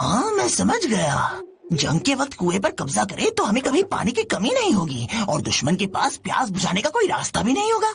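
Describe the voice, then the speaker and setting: In a put-on character voice, a man talks fairly quickly at an extremely high pitch, his loudness very even. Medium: fan dub. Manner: sly, greedy.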